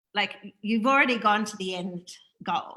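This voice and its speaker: With an Australian accent, a woman speaks in a bright, sharp, animated tone with lively intonation. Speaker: spiritual interview host. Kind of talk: casual spiritual interview chat on livestream. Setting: Facebook live video call.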